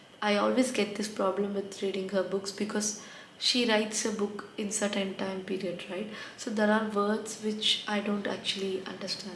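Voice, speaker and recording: A woman's medium-pitched voice at a moderate pace, flat and monotone, with noticeable background noise and audible room echo. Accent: non-native. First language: not English. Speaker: book reviewer. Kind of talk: casual book review vlog.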